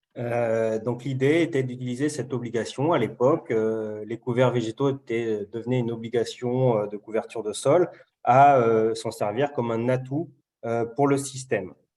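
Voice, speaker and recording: A man of medium pitch speaks in a dark, mellow tone at a moderate pace with fairly even intonation. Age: 40s. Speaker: farmer. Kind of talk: webinar presentation. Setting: video call. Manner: hesitant, many fillers.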